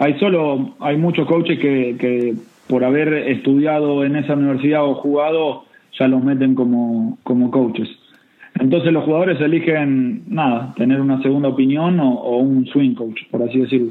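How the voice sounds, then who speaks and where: A fairly high-pitched male voice with typical rises and falls in pitch. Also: moderate pace. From Argentina, Buenos Aires province. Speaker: golf coach. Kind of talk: interview. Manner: repetitive, halting.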